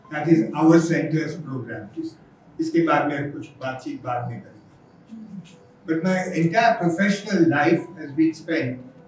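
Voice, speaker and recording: Through noticeable background noise and audible room echo, a man with a fairly high pitch speaks at a fairly slow pace, with ordinary pitch variation and big swings in loudness. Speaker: educator and NGO founder. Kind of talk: conference talk. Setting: conference hall with audience. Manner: halting.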